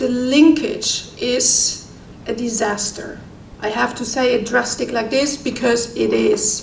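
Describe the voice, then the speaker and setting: A woman talks at a very slow pace and a fairly high pitch, with ordinary pitch variation. Audible room echo and noticeable background noise surround her voice. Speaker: doctor at a medical humanitarian organisation. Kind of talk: conference talk. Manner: halting with many fillers.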